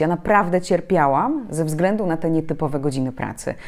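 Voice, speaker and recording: Speaking fairly quickly over a quiet background, a woman has a fairly low pitch and ordinary pitch variation. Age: 30s. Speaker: journalist and public speaking trainer; journalist, public speaking trainer. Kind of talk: interview. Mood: reflective, calm. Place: home room. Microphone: lapel.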